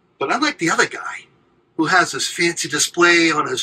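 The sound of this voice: A man talks at a fairly high pitch with a bright, sharp tone, a slightly husky edge and ordinary pitch variation.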